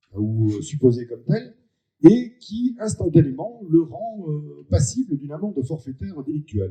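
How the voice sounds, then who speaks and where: A man speaks with a dark, mellow tone at a fairly high pitch, somewhat breathy. His pitch swings very widely. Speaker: member of parliament. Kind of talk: public meeting speech. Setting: public meeting with audience. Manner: hesitant, many filler sounds.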